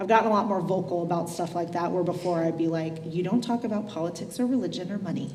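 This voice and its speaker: A woman's fairly low voice at a very fast pace with hardly any pauses, ordinary pitch variation, noticeable background noise and audible room echo. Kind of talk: casual panel conversation. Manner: loud.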